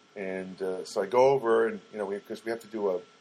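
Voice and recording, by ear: A man talks fast in a fairly low register, with a slightly mellow tone. His intonation stays fairly even.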